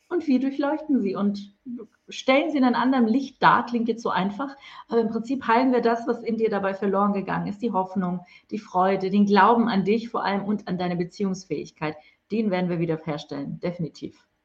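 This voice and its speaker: At a fairly quick pace, a woman speaks in a somewhat breathy, medium-pitched voice with lively intonation. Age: 40s. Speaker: spiritual mentor. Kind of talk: interview. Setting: online livestream.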